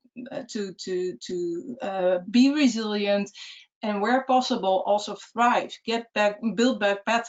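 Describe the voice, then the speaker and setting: Talking at a very slow pace, this woman uses ordinary pitch variation. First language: not English. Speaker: city resilience officer. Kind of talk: webinar presentation. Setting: webcast. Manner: halting.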